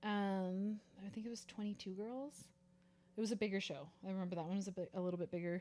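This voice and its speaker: The voice has a dark, mellow tone and fairly even intonation, moving at a very fast pace. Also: woman, medium pitch for a woman. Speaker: podcast co-host, bikini competitor. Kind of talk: casual chat.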